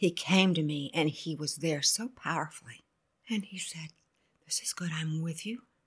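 Very deep and low in pitch, a woman speaks at a moderate pace in a somewhat breathy, animated tone with ordinary pitch variation, on a very clean recording with a silent background. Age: 70s. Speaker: former pastor's wife, grandmother. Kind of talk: casual interview chat, with prayer. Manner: animated, joyful.

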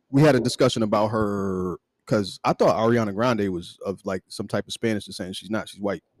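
With a fairly low pitch and big swings in loudness, a man speaks in a plain, everyday voice, recorded with a dry, close sound and no echo. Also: fairly even intonation, fairly quick pace. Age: 40s. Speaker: podcast co-host. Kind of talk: casual chat.

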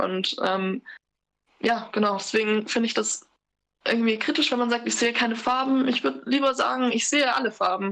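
A woman's fairly high pitch in a plain, everyday voice, moderate pace and ordinary pitch variation. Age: 20s. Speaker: interview guest sharing racism experiences. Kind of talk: personal testimony in casual chat. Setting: remote, sitting in her kitchen.

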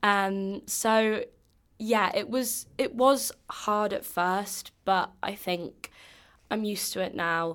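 Very slow speech from a woman in an English accent, medium in pitch with ordinary pitch variation, in a very clean recording with a silent background. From England. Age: 20s. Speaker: exchange student. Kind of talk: casual interview chat.

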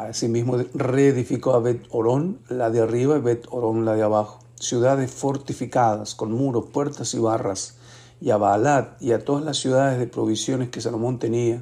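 A man talks with hardly any pauses. His tone is dark and mellow, and his intonation is fairly even. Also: medium pitch for a man, moderate pace. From Argentina, Mendoza. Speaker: bible reading podcaster. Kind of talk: reading aloud scripture with brief comments.

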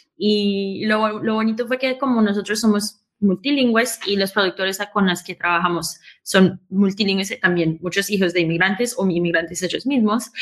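A woman's medium-pitched, ordinary speaking voice at a moderate pace, with ordinary pitch variation. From Queens, New York, with Colombian roots. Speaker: podcast company founder. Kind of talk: live show conversation.

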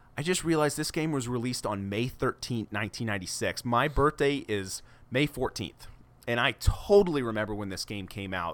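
Using lively intonation, a man talks at a fairly quick pace and medium pitch. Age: 30s. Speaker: podcast co-host. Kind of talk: plot summary; casual chat. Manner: pitch rises when excited.

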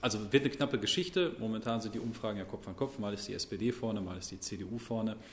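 A somewhat breathy man's voice at medium pitch, very fast with hardly any pauses, with ordinary pitch variation. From Sauerland, Germany (Brilon). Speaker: member of parliament. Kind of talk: interview.

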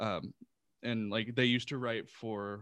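With a normal speaking voice, a man speaks with ordinary pitch variation in a dry, close sound with no echo and a quiet background. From Texas, Houston. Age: 30s. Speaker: audio drama creator and sound designer. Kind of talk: casual interview chat.

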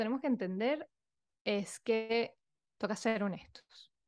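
A woman talks very slowly, her voice pitched fairly high. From Venezuela. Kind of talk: interview conversation.

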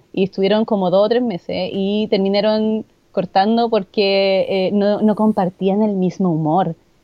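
At a fairly slow pace and medium pitch, a woman speaks with hardly any pauses and monotone, flat intonation. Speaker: podcast guest. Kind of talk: casual chat.

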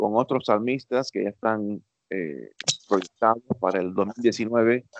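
The man's pitch is medium and his intonation lively. He speaks at a very slow pace. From US, raised in Miami by Cuban parents. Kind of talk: interview.

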